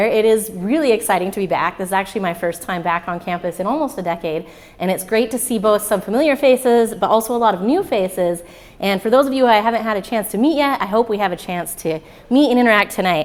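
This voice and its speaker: Against noticeable background noise, a woman talks very fast. Her pitch is fairly high and her intonation lively. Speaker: physicist, former graduate student, speaker. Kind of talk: public talk. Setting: stage with audience. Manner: loud.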